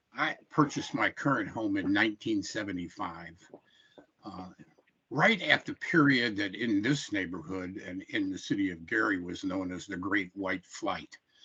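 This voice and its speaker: With an American accent, a man speaks at a moderate pace in a fairly low pitch, his bright, sharp tone showing ordinary pitch variation and big swings in loudness. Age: 70s. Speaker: public hearing commenter, retired carpenter. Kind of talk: public testimony at a hearing. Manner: halting with frequent fillers.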